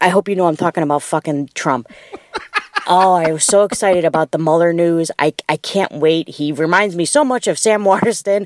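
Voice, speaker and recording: A woman's ordinary speaking voice, fairly low in pitch, with ordinary pitch variation, a fairly quick pace and a dry, close sound with no echo. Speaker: caller. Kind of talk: recorded voicemail message. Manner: casual, profane.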